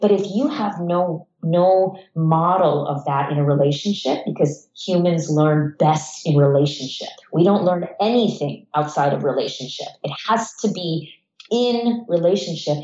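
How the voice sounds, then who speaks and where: Using a normal speaking voice, a woman with an American accent and a fairly low pitch talks at a fairly slow pace with lively intonation. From United States. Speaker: psychologist. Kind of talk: interview.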